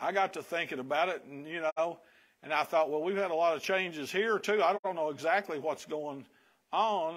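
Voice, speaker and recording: A man with a Southern US accent, high pitch, fairly even intonation and a moderate pace, in a quiet background. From US Kentucky. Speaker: pastor. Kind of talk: sermon. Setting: church. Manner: casual, humorous. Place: church. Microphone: lapel.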